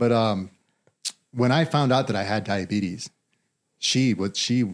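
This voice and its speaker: A man with an American accent speaks at a fairly slow pace in a normal speaking voice. His pitch is medium, with ordinary pitch variation. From rural northern Nevada (Carlin). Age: 40s. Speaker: mine skills training director. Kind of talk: podcast interview.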